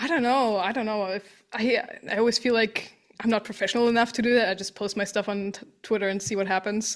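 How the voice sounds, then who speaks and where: A woman with a non-native accent speaks very fast in a fairly high pitch, her intonation fairly even. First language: not English. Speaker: artist and game fan. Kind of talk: casual chat. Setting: podcast recording.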